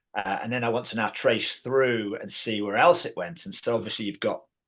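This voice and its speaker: A man with an English accent, bright, sharp tone and fairly quick pace against a quiet background. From England. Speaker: martial arts teacher and founder of a training system. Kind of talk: interview. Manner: hesitant, many fillers and repeats.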